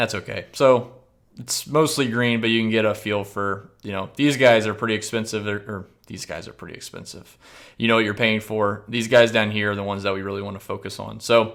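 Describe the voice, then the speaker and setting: Speaking at a fairly quick pace, a man with a fairly low pitch keeps his intonation fairly even while his loudness swings widely. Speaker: fantasy golf analyst. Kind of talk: tutorial. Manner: fast.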